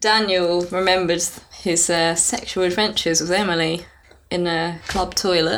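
At a fairly low pitch, a woman talks at a moderate pace with fairly even intonation and very even loudness. Noticeable background noise can be heard. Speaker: podcast co-host, writer. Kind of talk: casual chat.

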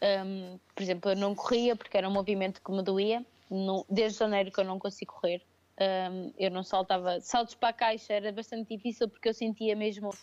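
Flat and monotone, a woman talks at a fairly quick pace in a medium pitch. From Portugal, Viseu region. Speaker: crossfit athlete and coach. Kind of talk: casual interview. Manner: hesitant, many fillers.

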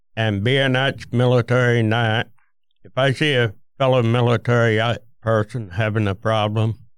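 Fairly even intonation and a moderate pace, with a strong Vermont accent. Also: man. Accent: thick Vermont (New England). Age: 70s. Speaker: war veteran. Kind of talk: casual chat.

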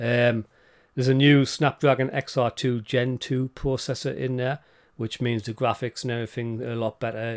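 A man with a British accent speaks at a medium pitch and a moderate pace, his intonation monotone and flat. The recording is very clean and dry, close with no echo and a silent background. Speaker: podcast co-host. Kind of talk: casual chat.

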